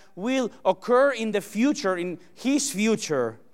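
A man with a Spanish accent, very slow pace and lively intonation. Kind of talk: sermon. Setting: church.

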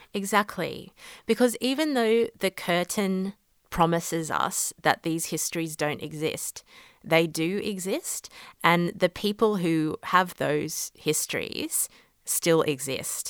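Speaking at a very slow pace with an Australian accent, a woman uses a fairly low pitch, the sound dry and close with no echo. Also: ordinary pitch variation. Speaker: law lecturer. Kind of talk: interview.

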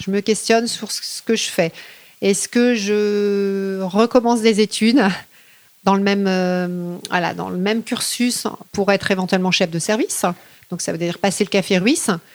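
A woman with a medium-pitched voice talks fairly slowly, her intonation fairly even. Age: 40s. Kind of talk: interview. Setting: at home. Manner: hesitant.

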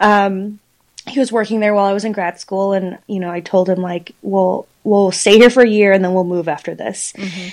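A woman with an American accent and a plain, everyday voice speaks at a moderate pace. Her medium pitch holds a fairly even intonation. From Texas (Houston, Dallas-Fort Worth). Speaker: artist. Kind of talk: interview.

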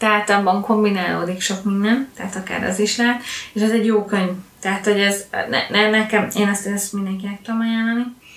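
Over noticeable background noise and audible room echo, a woman talks at a very fast pace in a medium pitch with monotone, flat intonation. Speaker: book podcast co-host. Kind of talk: casual chat.

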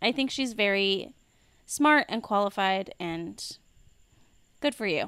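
In a very clean recording with a silent background, a woman with a medium pitch and a bright, sharp tone talks at a very slow pace, leaving long, frequent pauses and using lively intonation. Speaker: podcast co-host. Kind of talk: casual chat.

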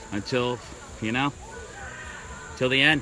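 A man amid noticeable background noise. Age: 30s. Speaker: BMX trail rider. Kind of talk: casual chat.

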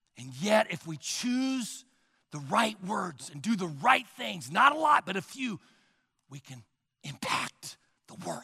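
A man speaks high and bright with a sharp tone, his raised, projected voice swinging very widely in pitch and greatly in loudness at a fairly slow pace broken by long, frequent pauses. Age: 60s. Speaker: pastor. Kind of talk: sermon. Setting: church.

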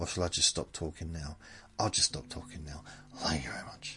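A man speaks at a fairly quick pace with vocal fry and a bright, sharp yet gentle tone. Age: 50s. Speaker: podcast host. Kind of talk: casual rambling monologue, sleep-inducing podcast. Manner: rambling, self-correcting, gentle.

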